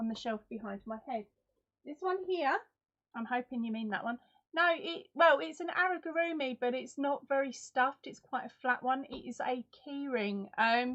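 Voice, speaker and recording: Speaking in an Essex accent, a woman talks at a moderate pace with a high pitch and lively intonation. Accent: Essex English accent, remarked on by viewers. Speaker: crochet YouTuber. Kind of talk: live stream chat with viewers. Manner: animated.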